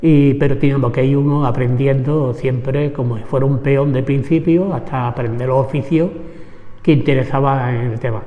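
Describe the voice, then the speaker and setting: A man with an Andalusian accent speaks at a moderate pace, his fairly high pitch following fairly even intonation, with audible room echo. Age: 70s. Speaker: trade unionist, former vineyard worker. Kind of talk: oral history interview. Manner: halting.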